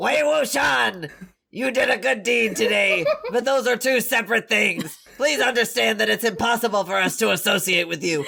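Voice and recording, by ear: Putting on a character voice, a man speaks at a high pitch. He keeps a moderate pace.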